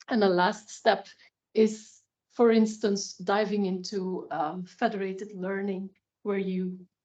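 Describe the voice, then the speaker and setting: A woman with a Flemish accent at a medium pitch, very slow in pace and monotone, flat in intonation. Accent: Flemish Dutch accent in English. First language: Dutch. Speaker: health data researcher. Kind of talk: expert presentation. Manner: hesitant, many fillers.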